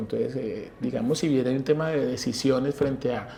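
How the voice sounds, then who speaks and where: The voice is somewhat breathy. A man talks in a dark, mellow tone. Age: 40s. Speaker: university professor. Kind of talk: interview. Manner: hesitant, with fillers.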